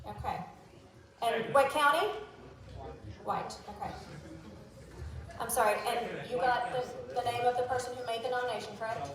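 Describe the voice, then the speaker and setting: Moderate pace with long, frequent pauses, ordinary pitch variation and audible room echo. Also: woman, high pitch for a woman. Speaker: meeting chair. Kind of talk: formal meeting proceedings.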